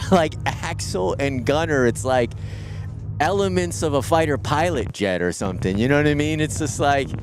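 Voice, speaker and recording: Very wide pitch swings, with audible room echo and music in the background. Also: man, medium pitch for a man, moderate pace. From New York. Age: 40s. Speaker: live show host. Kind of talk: casual chat.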